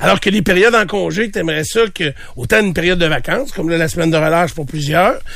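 Noticeable background noise sits under a man's high voice. He speaks at a moderate pace with ordinary pitch variation. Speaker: morning radio host. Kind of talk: casual chat.

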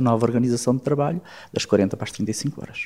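The speaker is a man. He has a plain, everyday voice. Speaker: politician and physician. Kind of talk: political interview. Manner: formal.

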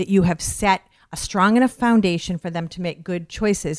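A woman with a normal speaking voice talks at a moderate pace and medium pitch, with ordinary pitch variation, in a dry, close sound with no echo. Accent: American. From Western Massachusetts (Westfield). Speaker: radio host. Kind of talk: casual interview chat.

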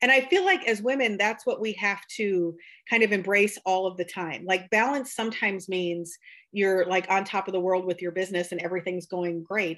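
In a very clean recording with a silent background, a woman with a US Midwestern accent talks at a moderate pace and medium pitch, her intonation fairly even. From rural Iowa, Buchanan County. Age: 40s. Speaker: beauty artist and conference organizer. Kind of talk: casual interview chat.

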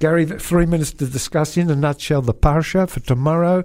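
This man has a dark, mellow tone. He speaks in an Australian accent. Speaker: radio host. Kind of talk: casual radio chat. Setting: studio.

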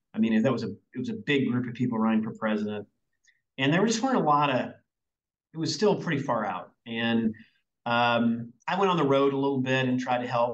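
Speaking with a Southern US accent, a man talks at a fairly quick pace with lively intonation. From US South, Arkansas. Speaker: business executive. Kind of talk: interview. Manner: energetic.

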